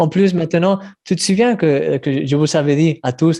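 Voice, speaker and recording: Speaking at a fairly slow pace, a man has a dark, mellow tone. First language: Spanish (speaking French). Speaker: devotional writer. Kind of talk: online meeting conversation. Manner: halting, repeating words.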